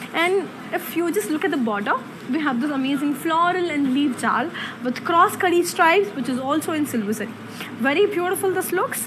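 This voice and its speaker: A woman speaks with a high voice at a moderate pace. There is noticeable noise in the background. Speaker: presenter. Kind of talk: live sales presentation. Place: shop.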